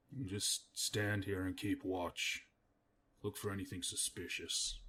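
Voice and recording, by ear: A man performs a put-on character voice. He delivers it at a fairly slow pace.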